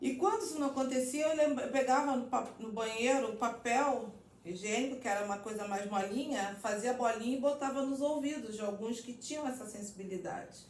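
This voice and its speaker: Loud, fairly quick speech with hardly any pauses, plus audible room echo and noticeable background noise. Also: woman, high pitch for a woman, ordinary pitch variation. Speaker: psychologist. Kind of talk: casual chat.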